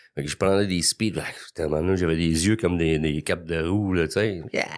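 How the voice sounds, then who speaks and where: A man speaks at a fairly quick pace in a very deep, low voice, his intonation fairly even, on a very clean recording with a silent background. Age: 60s. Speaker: recovering alcoholic guest. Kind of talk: testimony.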